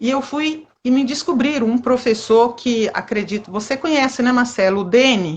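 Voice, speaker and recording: A woman speaks at a fairly slow pace in a high voice. Her intonation is lively. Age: 50s. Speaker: amateur street runner. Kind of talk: interview.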